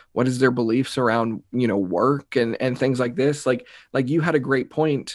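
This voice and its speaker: On a very clean recording with a silent background, a man talks at a moderate pace in a normal speaking voice. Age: 20s. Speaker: mindset coach and speaker. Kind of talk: casual interview chat.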